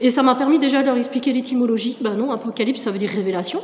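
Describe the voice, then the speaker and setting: Amid noticeable background noise, a woman speaks fairly quickly at a high pitch. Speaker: French teacher giving testimony. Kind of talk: testimony. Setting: church service. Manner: hesitant, many fillers.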